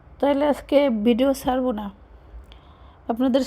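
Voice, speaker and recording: Fairly even intonation accompanies a dark, mellow tone. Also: woman. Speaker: cooking vlogger. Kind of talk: cooking vlog.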